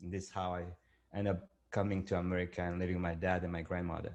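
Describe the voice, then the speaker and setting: In a French accent, a man speaks at a very fast pace. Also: quiet background. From France, Vietnamese parents. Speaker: entrepreneur and meditation creator. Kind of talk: interview. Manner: halting, with fillers.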